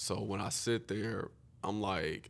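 Using a fairly low pitch, a man talks with an American accent and vocal fry. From Houston, Texas. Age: 20s. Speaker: college basketball player. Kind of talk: casual chat.

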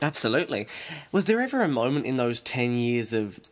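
Here a man speaks with an Australian accent at medium pitch. His pace is fairly quick. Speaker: podcast host. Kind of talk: interview.

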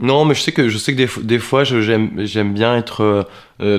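At a fairly slow pace, a man talks with a medium pitch and fairly even intonation. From France. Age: 30s. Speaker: actor. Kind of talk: interview. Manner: hesitant, many fillers.

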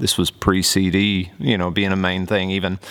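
This man speaks with a slight Southern US accent. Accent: slight Southern twang. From US South, Oklahoma near Texas border. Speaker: worship leader and podcast host. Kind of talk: casual monologue. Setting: studio with camera and microphone.

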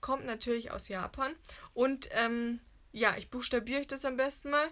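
A woman speaks in a high pitch. The recording is very clean, with a silent background. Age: 20s. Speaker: magazine editor. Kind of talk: casual chat. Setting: recording in a walk-in wardrobe.

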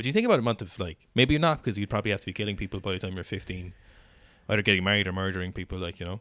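In an Irish accent, a man talks very fast at a fairly low pitch with a bright, sharp tone and ordinary pitch variation, on a very clean recording with a silent background. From Ireland. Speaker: podcast co-host, CrossFit athlete. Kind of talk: casual chat.

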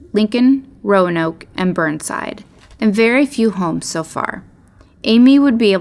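The delivery is a natural reading voice. It has lively intonation.

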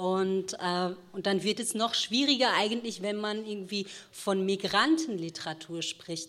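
This woman has a plain, everyday voice. She talks at a fairly slow pace with medium pitch. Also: ordinary pitch variation. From Ruhr area, Germany (since age 10). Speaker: novelist. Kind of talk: panel discussion. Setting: stage with audience.

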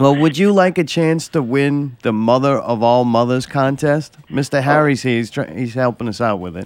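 At a moderate pace with hardly any pauses, the speaker uses ordinary pitch variation. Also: man, medium pitch for a man. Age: 50s. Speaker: podcast host. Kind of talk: casual chat. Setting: studio. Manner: animated. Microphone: mic close to face.

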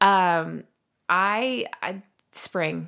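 On a very clean recording with a silent background, a woman speaks in a Southern US accent. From Alabama, Montgomery. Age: 30s. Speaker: therapist and yoga instructor. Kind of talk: casual chat.

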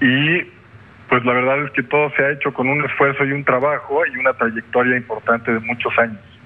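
A man with a medium-pitched voice talks fairly quickly in a monotone, flat intonation. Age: 40s. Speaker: businessman. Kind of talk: interview. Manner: halting.

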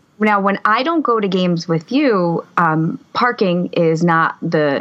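With noticeable background noise, a woman speaks in an American accent at a fairly slow pace. Her medium pitch carries lively intonation. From Harrison, New Jersey. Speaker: podcast co-host, teacher. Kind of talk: casual chat. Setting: video call.

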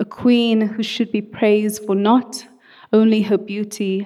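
In a dark, mellow tone, a woman with a fairly high pitch speaks at a fairly slow pace with monotone, flat intonation. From South Africa (Cape Town). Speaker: spoken word artist. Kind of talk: spoken word poetry.

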